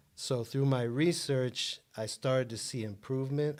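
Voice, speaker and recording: A man speaks at a moderate pace in a normal speaking voice on a very clean recording with a silent background. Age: 60s. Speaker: author and self-help guest. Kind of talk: interview.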